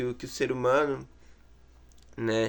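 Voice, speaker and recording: A man speaks in a bright, sharp tone. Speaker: student teaching an online philosophy course. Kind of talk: course introduction talk to camera. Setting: in his bedroom. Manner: halting, many fillers and repetitions.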